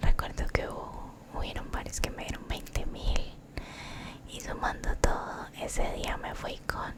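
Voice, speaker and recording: A woman is whispering at a very slow pace. Noticeable background noise is present. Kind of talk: ASMR storytime, soft-spoken personal story. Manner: soft-spoken, whispering.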